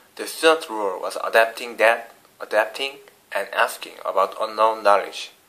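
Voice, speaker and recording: With a Korean accent, a man speaks at a fairly slow pace. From South Korea. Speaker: international student. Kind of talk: vlog class report. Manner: halting, many fillers and restarts.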